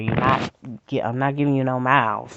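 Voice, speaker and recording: A woman speaks with a very deep, low pitch. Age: 30s. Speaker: vlogger. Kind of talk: casual monologue. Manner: stutter.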